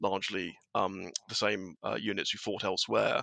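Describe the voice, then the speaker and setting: Against a quiet background, a man talks with a southern English accent and a bright, sharp tone. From southern England. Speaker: wargaming blogger. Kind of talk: casual chat.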